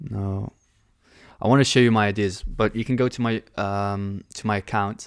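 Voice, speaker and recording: A man talks at a moderate pace in an ordinary speaking voice, fairly low in pitch with fairly even intonation. The recording is very clean, with a silent background. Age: 20s. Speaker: forex trader and live streamer. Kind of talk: live trading stream with chat Q&A. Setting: live stream. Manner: casual, conversational with fillers.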